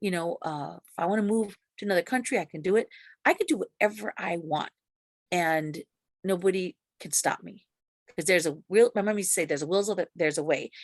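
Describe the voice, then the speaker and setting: A woman with an American accent talks very fast at a medium pitch, with ordinary pitch variation, big swings in loudness, and long, frequent pauses. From US, grew up in city housing projects. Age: 60s. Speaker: ex-Jehovah's Witness sharing her story. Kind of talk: interview testimony. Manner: halting, many fillers and restarts.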